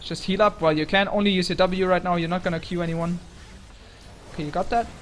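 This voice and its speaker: The speech runs very fast but breaks into long, frequent pauses. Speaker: game coach reviewing gameplay. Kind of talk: gameplay review commentary.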